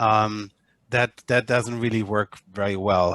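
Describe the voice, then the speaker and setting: A man with a German accent and a bright, sharp tone, dry sound with no echo, and a quiet background. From Germany. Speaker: media analytics company head; user demonstrating software. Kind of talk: online panel discussion. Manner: halting, many repetitions and fillers. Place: home room. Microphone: webcam.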